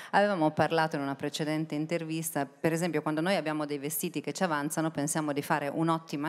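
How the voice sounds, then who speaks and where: A woman speaks in a very deep, low pitch with monotone, flat intonation. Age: 40s. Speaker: panel moderator. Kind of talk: panel moderation. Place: stage. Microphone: handheld.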